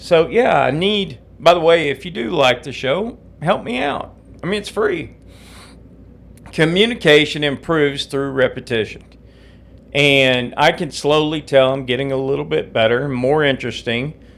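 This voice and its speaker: A man with a Southern US accent, fairly high pitch, ordinary pitch variation and a moderate pace. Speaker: podcast host. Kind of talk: solo podcast monologue.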